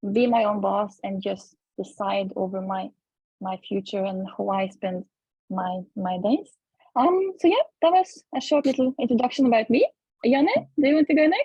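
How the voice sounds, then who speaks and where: A woman's pitch swings very widely, and her voice is somewhat breathy. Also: fairly high pitch for a woman, moderate pace. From Norway. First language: Norwegian. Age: 20s. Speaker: online entrepreneur. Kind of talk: group video call introduction.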